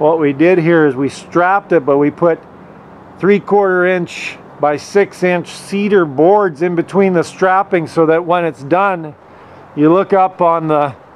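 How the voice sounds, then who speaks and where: Over light background noise, a man with a high-pitched voice talks at a fairly slow pace, his intonation fairly even and his loudness very even. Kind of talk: casual vlog chat. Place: open country. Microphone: phone near.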